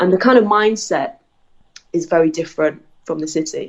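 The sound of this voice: A woman with a fairly low pitch and a slightly husky edge talks at a moderate pace with ordinary pitch variation.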